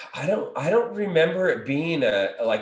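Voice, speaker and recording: There is audible room echo as a man speaks over a quiet background. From Southern California. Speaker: recovery business founder; podcast guest. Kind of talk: interview. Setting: video call. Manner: halting, repetitive. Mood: reflective, candid. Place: home room. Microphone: video call.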